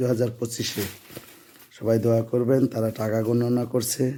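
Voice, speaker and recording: A man's medium-pitched voice stays monotone, with flat intonation throughout. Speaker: father filming family savings. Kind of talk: casual home video commentary.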